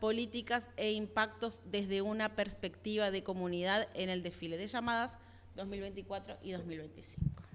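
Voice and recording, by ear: Here a woman is speaking. She moves at a fairly quick pace.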